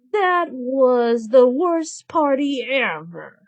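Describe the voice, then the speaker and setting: Using a put-on character voice, a woman speaks very slowly in a high pitch that swings very widely. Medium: read story. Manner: haughty, petulant.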